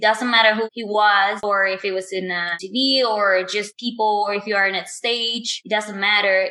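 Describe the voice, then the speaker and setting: A woman's medium-pitched voice with a Spanish accent, fairly even intonation and a moderate pace. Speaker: professional cosplayer and TV host. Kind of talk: interview. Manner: hesitant non-native phrasing.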